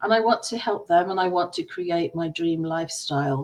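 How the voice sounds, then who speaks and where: A woman speaks with an English accent. Her pitch is fairly low, with ordinary variation. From England. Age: 60s. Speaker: entrepreneur, former dancer. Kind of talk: personal story presentation.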